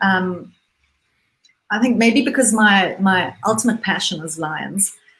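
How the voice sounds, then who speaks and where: Somewhat breathy and very slow, the voice carries a Zimbabwean accent and ordinary pitch variation. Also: woman. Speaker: businesswoman and conservationist. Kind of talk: interview. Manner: halting, many repetitions.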